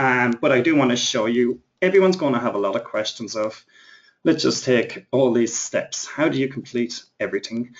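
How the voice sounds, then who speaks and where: A man with an Irish accent speaks at a medium pitch with ordinary pitch variation. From Ireland. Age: 30s. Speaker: internet marketing trainer. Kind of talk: webinar presentation. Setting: live webinar. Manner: fast.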